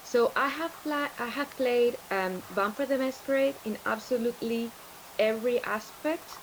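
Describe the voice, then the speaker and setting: With a Spanish accent, a woman speaks at a fairly high pitch and a fairly slow pace over noticeable background noise. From Spain. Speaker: larp organizer and tabletop role-player. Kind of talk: interview on livestream. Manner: halting, many fillers and repeats.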